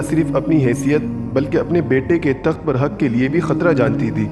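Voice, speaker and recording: A man speaks at a fairly high pitch while music plays in the background. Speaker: voice artist. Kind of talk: history documentary narration.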